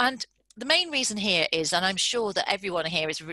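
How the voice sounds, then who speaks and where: Over a quiet background, a woman speaks in a bright, sharp tone at medium pitch with lively intonation, the sound dry and close with no echo. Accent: British. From UK. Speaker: business founder and psychologist. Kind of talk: webinar presentation. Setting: online video call. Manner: fast talker.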